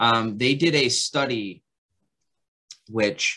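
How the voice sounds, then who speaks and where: The man's tone comes across bright and sharp. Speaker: podcast co-host in gas utility industry. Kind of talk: casual chat. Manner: stuttering at times.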